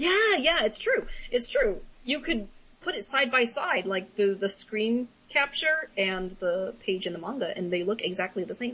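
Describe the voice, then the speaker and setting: The voice is loud, with very wide pitch swings over noticeable background noise. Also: woman, fairly high pitch for a woman, moderate pace. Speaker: podcast co-host. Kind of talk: casual chat. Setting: small room, shared mics. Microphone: voice echoing off another mic.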